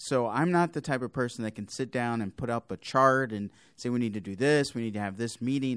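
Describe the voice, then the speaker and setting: A very clean recording with a silent background, holding an ordinary speaking voice with ordinary pitch variation at a fairly quick pace. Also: man. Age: 30s. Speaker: deacon and podcast host. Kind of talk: podcast interview.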